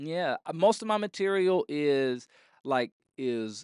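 Against a quiet background, a man with an American accent speaks in a fairly high pitch, the sound dry and close with no echo. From Florida, Orlando. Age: 20s. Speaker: comedian. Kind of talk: casual interview. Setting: comedy club.

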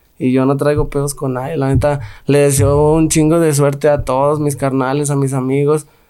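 This man talks at a moderate pace in a normal speaking voice, his pitch fairly high. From Mexico, Guanajuato (Santa Fe barrio). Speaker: rapper. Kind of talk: casual interview.

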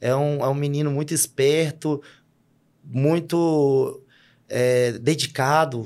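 On a very clean recording with a silent background, a fairly high-pitched man speaks very slowly with fairly even intonation and long, frequent pauses. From Brazil, Minas Gerais (Sete Lagoas). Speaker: fitness coach and football referee. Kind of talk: casual interview chat.

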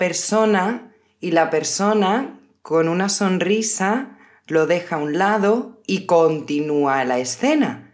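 At a very slow pace, a woman speaks at a medium pitch with lively intonation amid audible room echo. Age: 30s. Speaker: podcast host, Spanish teacher. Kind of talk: casual chat for language learners. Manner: slower than usual pace.

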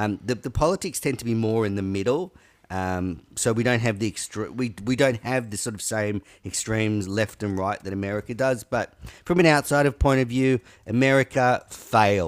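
Here a man speaks in an Australian accent. His pace is moderate. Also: medium pitch for a man, ordinary pitch variation, very clean recording, silent background. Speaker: podcast guest, online show host. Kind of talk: casual chat.

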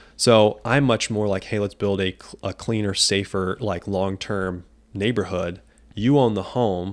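An ordinary speaking voice from a man, fairly low-pitched, fairly slow and fairly even in intonation, in a very clean recording with a silent background. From US Midwest, Quincy, Illinois. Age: 20s. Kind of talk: casual interview chat.

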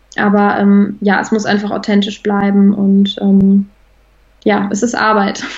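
A woman speaks fairly slowly at a medium pitch, with a monotone, flat intonation and very even loudness. Noticeable background noise runs underneath. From Germany, Bonn. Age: 20s. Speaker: equine therapist in training. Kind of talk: interview.

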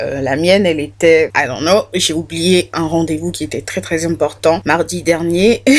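Despite the fairly slow pace, the speech has hardly any pauses, set against noticeable background noise. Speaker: true crime podcaster. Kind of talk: casual storytelling monologue. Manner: animated.

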